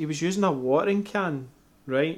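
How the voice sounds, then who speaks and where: Speaking in a Scottish accent, this man has a high pitch. He keeps a moderate pace with ordinary pitch variation. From Scotland. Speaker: homebrewer and YouTuber, guest co-host. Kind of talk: casual chat.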